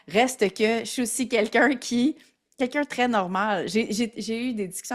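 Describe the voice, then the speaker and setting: A woman speaks at a fairly high pitch. The recording is very clean, with a silent background. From Quebec. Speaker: entrepreneur. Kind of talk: casual chat. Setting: podcast interview.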